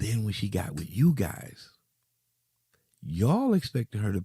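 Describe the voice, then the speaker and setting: A man's fairly low, dark, mellow voice, somewhat breathy, at a moderate pace, in a very clean, dry, close recording with a silent background and no echo. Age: 50s. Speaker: podcast co-host. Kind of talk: casual chat.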